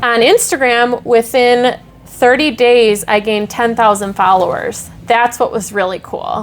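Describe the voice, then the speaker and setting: A woman's fairly high voice with ordinary pitch variation, music playing in the background. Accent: strong Wisconsin. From Wisconsin, Milwaukee area. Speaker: social media creator. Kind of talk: podcast interview. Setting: on location at a venue.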